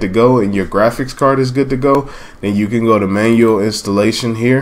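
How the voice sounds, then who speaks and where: A man with an unremarkable speaking voice talks at a moderate pace, at medium pitch, with ordinary pitch variation. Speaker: gaming tutorial youtuber. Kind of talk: tutorial.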